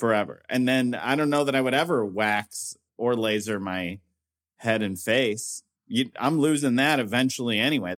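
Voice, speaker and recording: A man's normal speaking voice at medium pitch and moderate pace, on a very clean recording with a silent background. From US Midwest, northern Indiana. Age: 40s. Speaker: comedian. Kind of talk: casual chat.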